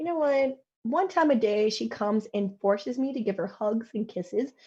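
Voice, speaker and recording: Fairly high-pitched and somewhat breathy, this woman's voice has a dark, mellow tone and lively intonation. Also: moderate pace. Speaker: show panelist. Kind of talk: casual chat.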